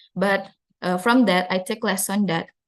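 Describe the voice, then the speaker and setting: Fairly even intonation in an Indonesian accent. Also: woman. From Indonesia, South Sulawesi (Makassar). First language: Duri, Bugis, Toraja, Makassar languages. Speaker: university student. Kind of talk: student presentation. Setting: live online seminar. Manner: hesitant, with fillers.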